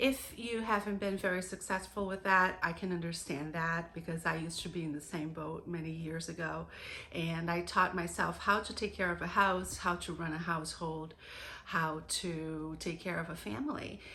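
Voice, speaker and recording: Her fairly low pitch marked by vocal fry, a woman speaks in a bright, sharp tone with fairly even intonation amid audible room echo. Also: moderate pace. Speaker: homemaking vlogger. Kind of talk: casual vlog talk.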